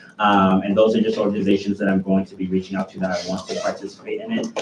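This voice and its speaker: The speech comes at a very fast pace in a monotone, flat intonation. Noticeable background noise runs underneath. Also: man. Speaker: student government executive. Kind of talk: meeting report.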